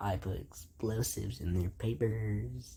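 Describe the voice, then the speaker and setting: A cartoonish character voice, very deep and low in pitch, fairly slow, with very wide pitch swings. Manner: crude, profane.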